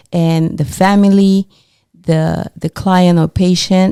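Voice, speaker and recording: A woman with a non-native accent speaks at a fairly slow pace in a fairly low pitch and a dark, mellow tone. Her intonation is flat and monotone, and the sound is dry and close with no echo. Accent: foreign. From immigrant to the US. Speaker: podcast co-host. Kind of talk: casual interview chat.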